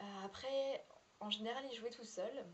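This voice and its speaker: Her delivery is fairly slow. The rise and fall of her voice stays ordinary, and the speaker is a woman. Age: 20s. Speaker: former au pair. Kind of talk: testimony. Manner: halting.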